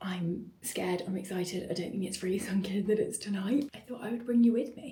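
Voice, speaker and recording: Soft-spoken and fairly quick, a woman talks at a medium pitch with ordinary pitch variation. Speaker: small business owner and event host. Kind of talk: vlog. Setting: at home in bathroom.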